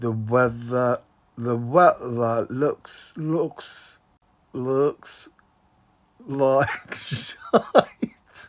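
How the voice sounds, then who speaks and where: In a put-on character voice at a low-to-middle pitch, the speaker drawls at a very slow pace with long, frequent pauses. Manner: slow drawl.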